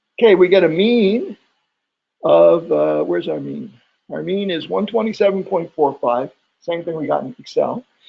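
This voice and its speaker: Long, frequent pauses break up the speech, and the loudness swings widely. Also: man. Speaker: statistics instructor. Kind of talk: lecture. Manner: fast.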